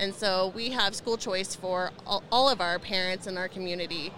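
With an American accent, a woman of medium pitch speaks at a fairly slow pace, her tone bright and sharp and her intonation fairly even. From Indiana. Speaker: school board member. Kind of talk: interview conversation.

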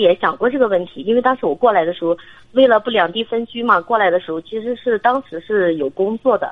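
Speaking at a very fast pace, a woman has a fairly high pitch. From Shandong. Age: 30s. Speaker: military wife, caller. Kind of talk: phone-in consultation. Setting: phone call. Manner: hesitant.

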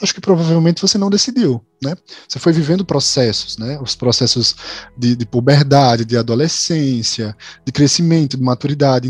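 The voice moves at a moderate pace with ordinary pitch variation, in a dry, close recording with no echo but noticeable background noise. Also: man. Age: 20s. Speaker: content manager. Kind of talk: casual chat.

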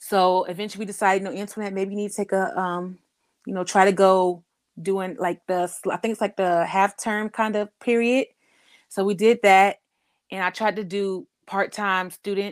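A woman in a monotone, flat intonation on a very clean recording with a silent background. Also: medium pitch for a woman, moderate pace. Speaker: chronic illness patient advocate. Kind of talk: casual interview.

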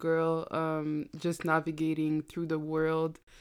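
The speaker is a woman with an unremarkable speaking voice, fairly low in pitch. She goes at a fairly slow pace on a very clean recording with a silent background. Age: 20s. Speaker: university student and podcaster. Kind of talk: casual chat.

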